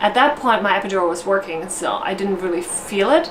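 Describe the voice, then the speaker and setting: With a German accent, a woman speaks at a moderate pace in a medium pitch, over noticeable background noise and audible room echo. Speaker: vlogger, new mother. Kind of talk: personal storytelling vlog. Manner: casual, with fillers and self-corrections.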